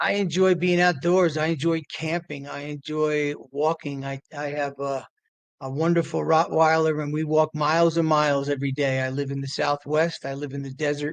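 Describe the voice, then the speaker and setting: Speaking at a moderate pace, a man uses a fairly high pitch and a monotone, flat intonation. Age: 60s. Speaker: author and recovery center founder. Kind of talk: podcast interview. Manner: halting, many repetitions.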